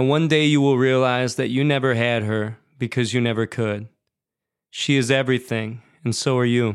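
A man with an American accent speaks at a moderate pace and medium pitch in an unremarkable speaking voice, with fairly even intonation and very even loudness. The recording is very clean, with a silent background. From Seattle, Washington, US Pacific Northwest. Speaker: writer and musician. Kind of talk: reading aloud.

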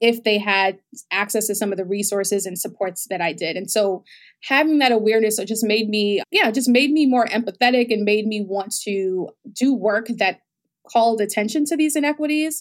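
A woman with an American accent speaks in an ordinary speaking voice at a fairly high pitch, with ordinary pitch variation, a moderate pace, and a very clean recording with a silent background. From New York, the Bronx. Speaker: health startup founder. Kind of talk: interview.

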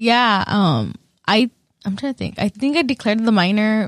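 A normal speaking voice in an American accent, with ordinary pitch variation at a moderate pace. The recording is very clean with a silent background, dry and close with no echo. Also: woman. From northwest Iowa. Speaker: university student. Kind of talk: casual chat.

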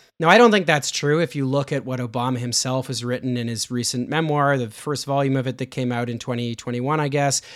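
Over a silent background in a very clean recording, a man speaks with a Canadian accent. His medium pitch, ordinary pitch variation and unremarkable speaking voice stand out little. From Canada. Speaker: political journalist and author. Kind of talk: casual interview.

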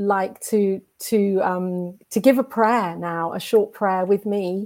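A woman with an unremarkable speaking voice talks at a medium pitch with fairly even intonation on a very clean recording with a silent background. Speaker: radio host. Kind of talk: interview chat.

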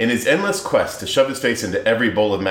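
A natural voice reading aloud

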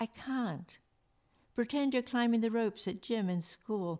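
Against a quiet background, a woman with an English accent talks at a moderate pace. Her fairly high voice has lively intonation. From England. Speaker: novelist and retired priest. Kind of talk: reading aloud.

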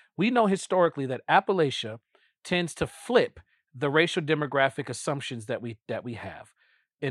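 A man with an unremarkable speaking voice talks at a moderate pace and a fairly high pitch. The recording is very clean with a silent background, and the sound is dry and close with no echo. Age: 40s. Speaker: podcast host and pastor. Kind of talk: casual chat.

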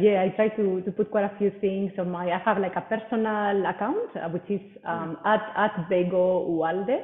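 Over noticeable background noise, a woman speaks with a Spanish accent and fairly even intonation. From Spain. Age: 40s. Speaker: personal trainer. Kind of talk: interview. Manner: hesitant, many fillers and repeats.

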